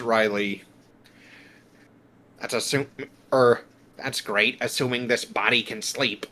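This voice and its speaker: In a put-on character voice, a man at medium pitch speaks fairly slowly in a monotone, flat intonation, with long, frequent pauses. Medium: virtual streamer. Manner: grumbling, cranky.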